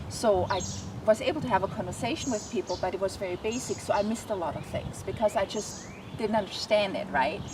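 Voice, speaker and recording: Amid noticeable background noise, a woman with a non-native accent talks at a very fast pace with lively intonation. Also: medium pitch for a woman. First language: not English. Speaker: animal communicator. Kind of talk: interview.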